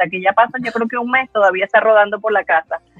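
A woman talks at a very fast pace in a fairly high pitch, with ordinary pitch variation. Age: 50s. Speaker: laughter therapist. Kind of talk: conference talk.

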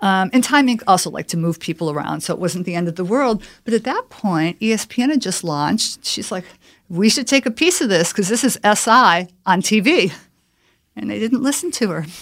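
A woman with an American accent and a plain, everyday voice, medium in pitch, with lively intonation at a fairly quick pace on a very clean recording with a silent background. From Chicago. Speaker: corporate communications executive. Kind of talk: interview.

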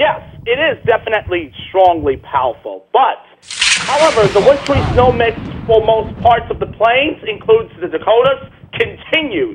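Speaking at a moderate pace with lively intonation, a man with an extremely high voice is heard over noticeable background noise. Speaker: caller. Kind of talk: casual chat. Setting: phone call.

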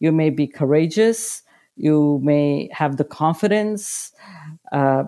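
A woman's voice sits very deep and low, with a dark, mellow tone. The recording is very clean, with a silent background. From India. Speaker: public sector procurement executive. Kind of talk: interview. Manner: halting, many fillers.

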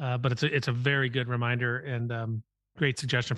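The speaker has an American accent and a very fast pace with fairly even intonation. The sound is dry and close with no echo, over a quiet background. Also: man. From US Midwest. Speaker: podcast host and venture capitalist. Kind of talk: interview conversation.

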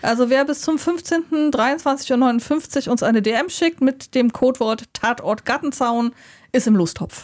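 A woman speaks at a very slow pace in a high pitch with ordinary pitch variation and very even loudness. The recording is very clean, with a silent background. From Germany. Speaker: board game podcast co-host. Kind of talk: casual chat. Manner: hesitant, many fillers.

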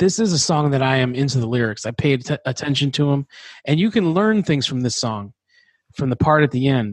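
A man talks at a fairly quick pace in an ordinary speaking voice with lively intonation. The sound is dry and close with no echo, over a quiet background. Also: fairly high pitch for a man. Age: 40s. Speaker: podcast host. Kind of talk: casual chat.

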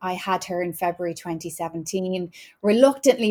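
A woman speaks with an Irish accent. Her pitch is medium and her pace moderate. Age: 30s. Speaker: wellness podcast host. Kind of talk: casual chat.

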